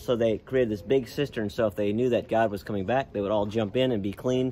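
A man talks at a medium pitch. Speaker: travel vlogger. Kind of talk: casual vlog narration. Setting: outdoors. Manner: animated.

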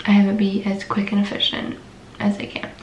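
A woman amid light background noise and audible room echo. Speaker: nursing student vlogger. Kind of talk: casual vlog chat. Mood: relaxed, chatty, a bit sleepy. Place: home room.

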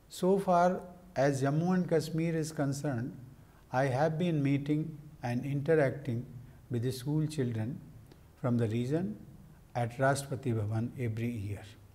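A man's somewhat breathy voice moves at a moderate pace with ordinary pitch variation and long, frequent pauses. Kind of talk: formal speech. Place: office. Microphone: lapel.

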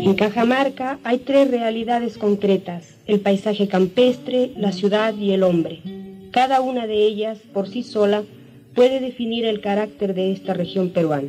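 Music can be heard behind the voice. The delivery is fairly slow, and the pitch varies in an ordinary way. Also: woman, fairly high pitch for a woman. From Peru. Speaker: painter. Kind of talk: documentary narration.

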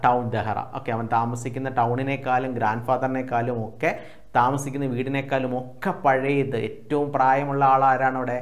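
This man's voice sits at a medium pitch. His delivery is monotone, with flat intonation. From Kerala, India. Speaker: online tuition teacher. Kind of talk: lecture. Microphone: lapel.

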